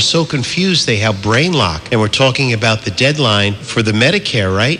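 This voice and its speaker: Noticeable background noise accompanies a man whose intonation is lively. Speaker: radio morning show host. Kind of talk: radio show hosting.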